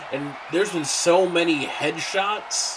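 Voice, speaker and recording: The man's voice is high in pitch. Noticeable background noise runs behind him. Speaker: wrestling commentator. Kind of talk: live commentary.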